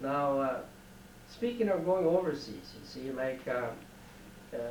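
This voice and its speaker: A man with a Canadian accent speaks at a fairly high pitch with lively intonation, amid audible room echo and noticeable background noise. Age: 70s. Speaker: war veteran. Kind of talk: oral history interview. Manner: halting.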